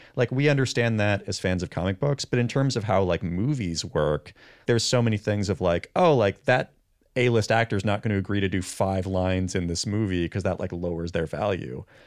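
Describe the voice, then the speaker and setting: A man speaks in a normal speaking voice at a fairly low pitch. The recording is very clean, with a silent background, and has a dry, close sound with no echo. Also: ordinary pitch variation, fairly quick pace. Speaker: comics expert. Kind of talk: casual chat.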